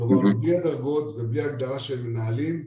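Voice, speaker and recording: Medium pitch, moderate speed and ordinary pitch variation in a man's voice with some breathiness. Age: middle-aged. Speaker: retired army general. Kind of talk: panel discussion.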